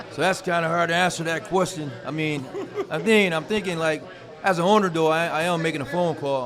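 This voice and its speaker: A man with an American accent, fairly high-pitched with ordinary pitch variation, at a very fast pace, amid audible room echo and noticeable background noise. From Ohio, Toledo. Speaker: sports business owner. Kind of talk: casual chat.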